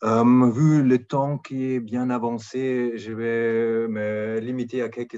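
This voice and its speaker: A man speaks with a German accent. The background is quiet. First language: German (speaking French). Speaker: NGO policy director. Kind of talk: panel talk. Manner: hesitant, searching for words.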